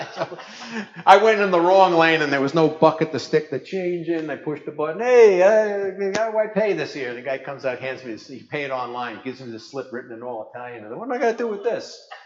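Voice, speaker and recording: Animated in tone, a man speaks very fast at a fairly high pitch. His pitch swings very widely and his loudness shifts a great deal. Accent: Brooklyn. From New York, Brooklyn. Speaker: ham radio operator and presenter. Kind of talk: conference talk.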